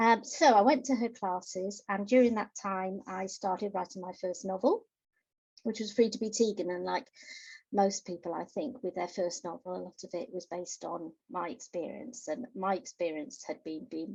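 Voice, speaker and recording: Somewhat breathy, a woman speaks at a moderate pace and medium pitch, with ordinary pitch variation and big swings in loudness. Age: 60s. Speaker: novelist. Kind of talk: interview.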